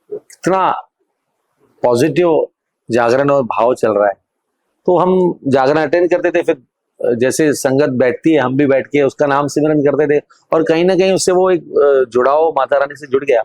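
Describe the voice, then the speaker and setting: A man's voice, fairly high in pitch with ordinary pitch variation, in a dry, close sound with no echo. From India, Ulhasnagar (Maharashtra), Sindhi community. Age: 40s. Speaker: devotional singer. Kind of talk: podcast interview. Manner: hesitant, many fillers.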